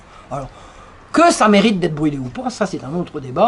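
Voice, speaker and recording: Fairly quick and animated, a woman speaks at a fairly low pitch with very wide pitch swings. Noticeable background noise can be heard. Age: 60s. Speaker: author and lecturer. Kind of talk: lecture.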